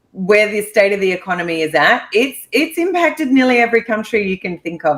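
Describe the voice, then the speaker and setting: This woman has an Australian accent. Her pace is fairly quick. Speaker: real estate investor. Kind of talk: podcast interview.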